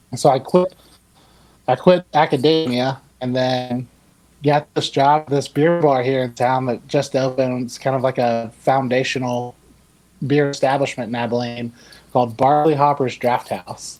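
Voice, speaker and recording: Using an ordinary speaking voice with an American accent, a man talks at a moderate pace and medium pitch, his intonation fairly even. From US South, Georgia. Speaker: brewery worker. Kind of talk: casual chat.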